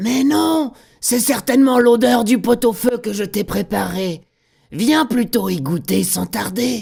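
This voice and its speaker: Using a put-on character voice, a man speaks at a fairly slow pace with high pitch. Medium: read story.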